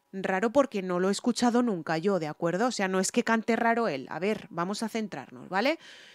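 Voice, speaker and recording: A woman's medium-pitched voice in a Spanish accent, lively in intonation, with hardly any pauses and a dry, close sound free of echo. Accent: Spanish (Spain). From Spain. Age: 40s. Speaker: singer and music reaction youtuber. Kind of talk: reaction video commentary. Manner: halting, many fillers and self-repairs.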